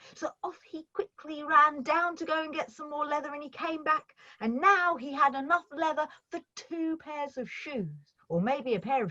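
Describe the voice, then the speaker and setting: A woman with a high pitch speaks in a raised, projected voice. Her pace is moderate, and her loudness swings widely. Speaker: storyteller. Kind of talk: storytelling performance. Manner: expressive, lively with character voices.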